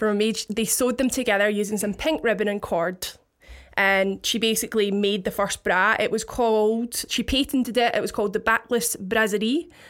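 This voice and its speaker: A woman with a Scottish accent speaks at a fairly high pitch and a moderate pace with fairly even intonation, in a very clean recording with a silent background. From Scotland, Paisley. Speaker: DJ. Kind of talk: casual chat.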